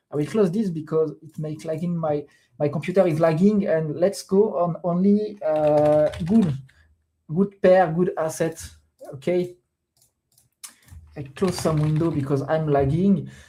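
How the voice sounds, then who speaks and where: Fairly slow speech in a French accent, broken by long, frequent pauses. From France. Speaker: crypto trader streamer. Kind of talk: live stream commentary. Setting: live stream at computer. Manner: hesitant, many fillers.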